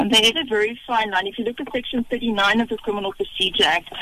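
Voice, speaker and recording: Noticeable background noise sits behind a woman with a fairly high pitch. She speaks at a fairly quick pace with ordinary pitch variation. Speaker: police officer, legal services. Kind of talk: radio interview. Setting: phone call.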